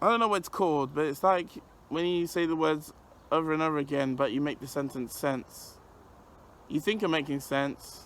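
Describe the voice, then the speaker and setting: This man's tone is bright and sharp. He talks at a moderate pace with ordinary pitch variation. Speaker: vlogger. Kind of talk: personal vlog. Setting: outdoors on a park bench. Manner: halting, repetitive.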